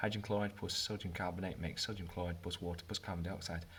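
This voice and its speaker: This man talks at a very fast pace with a British accent. His voice is somewhat breathy and his intonation is monotone and flat. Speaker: chemistry teacher. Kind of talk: tutorial.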